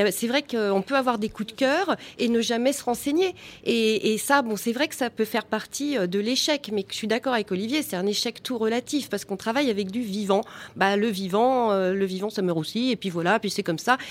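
Speaking at a fairly quick pace, a woman has an unremarkable speaking voice set at a fairly high pitch. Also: ordinary pitch variation. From Val d'Oise, France. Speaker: gardening business founder. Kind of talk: live radio panel discussion. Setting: live broadcast at public event.

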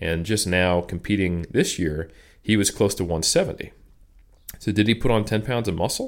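A man with an unremarkable speaking voice talks at a moderate pace with fairly low pitch and ordinary pitch variation on a very clean recording with a silent background. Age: 30s. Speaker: strength and conditioning researcher and coach. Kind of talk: interview conversation.

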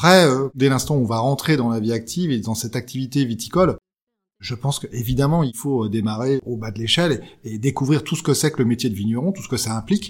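Talking at a fairly quick pace, a man with a somewhat breathy, medium-pitched voice uses ordinary pitch variation. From Champagne, France. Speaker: winegrower. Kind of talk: interview.

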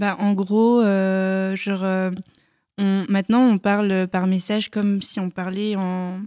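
In a monotone with flat intonation, a woman speaks at a very slow pace. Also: medium pitch for a woman. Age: 20s. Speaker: nurse, podcast guest. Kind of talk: casual chat.

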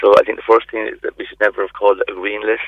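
A man talks at a very fast pace. He speaks in an Irish accent. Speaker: GP doctor. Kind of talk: radio interview. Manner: halting.

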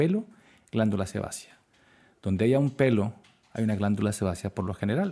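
This man talks at a fairly quick pace, his fairly low voice dark and mellow in tone. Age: 50s. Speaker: dermatologist. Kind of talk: interview.

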